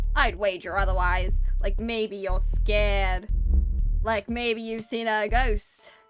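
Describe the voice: Over faint background music, a woman uses a creaky, put-on character voice, fairly high in pitch and fairly slow in pace.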